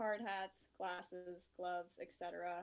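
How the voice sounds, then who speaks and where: A woman uses an ordinary speaking voice at mid pitch, keeping her intonation fairly level and her speed moderate. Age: 30s. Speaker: construction project manager. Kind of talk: interview.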